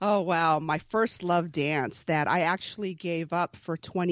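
Fairly low-pitched woman's voice, a normal speaking voice with fairly even intonation at a moderate pace. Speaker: podcaster and dancer. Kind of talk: casual interview chat.

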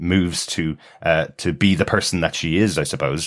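A man's very deep, low voice comes through on a very clean recording against a silent background. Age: 40s. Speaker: podcast co-host. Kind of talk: casual chat.

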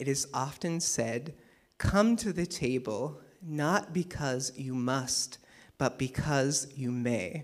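The delivery is very slow, with lively intonation. The recording is very clean, with a silent background. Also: man. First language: English (speaking German). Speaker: preacher. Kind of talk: sermon.

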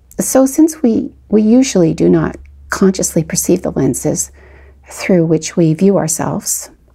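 In a Canadian accent, a woman speaks at a moderate pace and medium pitch, her dark, mellow voice somewhat breathy and her intonation lively. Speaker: podcast host. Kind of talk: scripted narration.

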